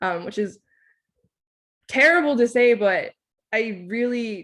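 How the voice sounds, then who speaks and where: With a Californian accent, a woman speaks fairly slowly at a fairly high pitch, her intonation lively. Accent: American English, California. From Southern California (Oceanside, San Diego area), Thai-American family. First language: Thai. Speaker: scientist. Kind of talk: lecture. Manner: hesitant, many filler ums.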